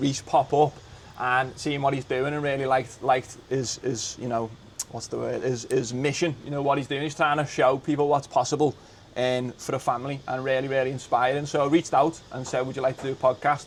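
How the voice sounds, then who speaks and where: In a Liverpool accent, a man talks at a fairly quick pace with monotone, flat intonation. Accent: Scouse (Liverpool). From England, Liverpool. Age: 20s. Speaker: podcast host, former teacher. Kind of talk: casual chat. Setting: in an office.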